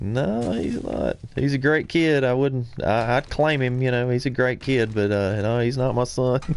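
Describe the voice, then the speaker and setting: A man with a Southern US accent at medium pitch, fairly slow yet with hardly any pauses, fairly even in intonation and very even in loudness. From US South, central Alabama. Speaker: gaming streamer. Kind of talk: live game stream commentary. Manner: casual, hesitant with many fillers.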